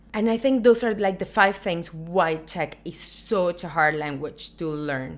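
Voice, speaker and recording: Her voice is an unremarkable speaking voice, fairly low in pitch for a woman. She speaks at a moderate pace with ordinary pitch variation. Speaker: YouTuber. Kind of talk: casual vlog talk.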